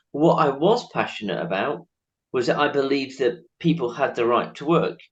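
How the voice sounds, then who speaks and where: A man with a northern English accent speaks at a moderate pace. His intonation is lively, and his voice has vocal fry. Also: fairly high pitch for a man. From northern England. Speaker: charity chief executive, interviewer. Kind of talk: interview.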